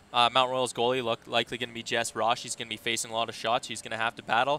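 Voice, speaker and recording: A man's voice over noticeable background noise. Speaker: sports broadcaster, play-by-play announcer. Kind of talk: live hockey play-by-play and commentary.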